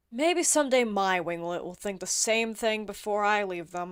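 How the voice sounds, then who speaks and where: A woman uses a put-on character voice at a medium pitch. She speaks at a moderate pace. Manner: inner thoughts, scornful.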